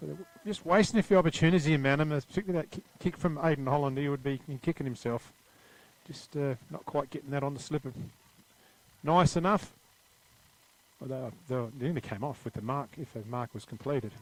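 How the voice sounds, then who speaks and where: Fairly high in pitch and fairly quick, a man with an Australian accent speaks with long, frequent pauses and big swings in loudness. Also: ordinary pitch variation. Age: 60s. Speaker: football commentator. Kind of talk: live commentary.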